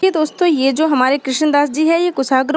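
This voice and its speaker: A woman with a Rajasthani accent speaks at a moderate pace with ordinary pitch variation. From Rajasthan, India. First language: Rajasthani (speaking Hindi). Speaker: Hindi literature teacher. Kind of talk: lecture. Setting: at home in Rajasthan, temple aarti audible. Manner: repetitive, explanatory.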